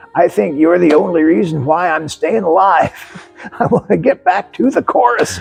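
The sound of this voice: This put-on character voice is raspy, with lively intonation, a moderate pace and very even loudness. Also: man, high pitch for a man.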